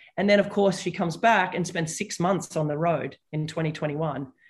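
A woman with an Australian accent has a fairly low, somewhat breathy voice and fairly even intonation. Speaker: tennis commentator and former player. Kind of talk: casual interview.

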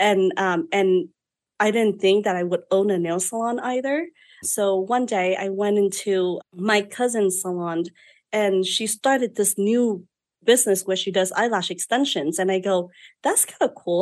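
This woman has a Vietnamese accent and a medium pitch, with ordinary pitch variation. She keeps a moderate pace against a quiet background. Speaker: beauty business owner. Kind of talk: interview storytelling. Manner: outspoken.

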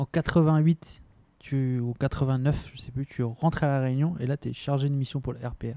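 Over a dry, close sound with no echo, a man with a dark, mellow tone and fairly high pitch talks at a fairly slow pace in a monotone, flat intonation, his loudness swinging widely. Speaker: podcast host. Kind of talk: interview. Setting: at guest's home.

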